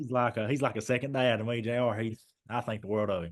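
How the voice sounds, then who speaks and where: A man with an Eastern Kentucky accent, medium pitch, fairly even intonation and a very fast pace. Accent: Eastern Kentucky Appalachian. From Eastern Kentucky, Clay County. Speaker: former basketball player. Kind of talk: casual chat.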